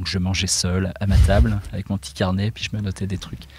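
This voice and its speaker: His voice is pitched very deep and low. The man keeps to a moderate pace. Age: 40s. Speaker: illustrator. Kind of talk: interview. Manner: halting.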